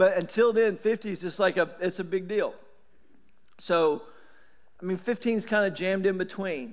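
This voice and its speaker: In an East Tennessee accent, a high-pitched man speaks at a moderate pace with fairly even intonation and long, frequent pauses, over a quiet background. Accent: US South (East Tennessee). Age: 40s. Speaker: pastor. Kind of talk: sermon. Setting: church. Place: church. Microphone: headset.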